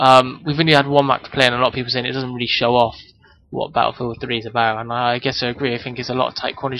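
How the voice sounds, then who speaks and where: With noticeable background noise behind him, a man talks at a very fast pace in a monotone, flat delivery. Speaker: gaming youtuber. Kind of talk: gameplay commentary. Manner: hesitant, many ums.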